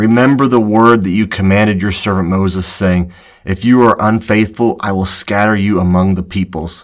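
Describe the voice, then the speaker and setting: A man's voice sits at a very deep, low pitch in a solemn tone. His pace is moderate and his intonation fairly even. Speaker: podcast host. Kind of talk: Bible teaching podcast with scripture reading. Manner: earnest, reverent, solemn.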